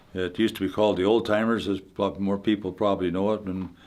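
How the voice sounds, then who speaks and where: On a very clean recording with a silent background, a man in a Canadian Prairie accent speaks with fairly even intonation. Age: 80s+. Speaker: retired hockey player. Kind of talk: interview. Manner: halting.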